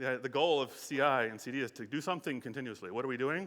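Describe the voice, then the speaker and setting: A man's bright, sharp voice, very fast, with an American accent, in a very clean recording with a silent background. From United States. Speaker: conference speaker, software engineering executive. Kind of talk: conference talk. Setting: stage with audience. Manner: hesitant fillers.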